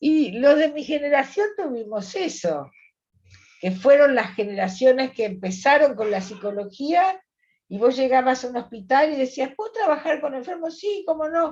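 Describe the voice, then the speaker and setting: Pitch swings very widely as the speech keeps a moderate tempo. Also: woman, high pitch for a woman. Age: 70s. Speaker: psychologist. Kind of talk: interview conversation.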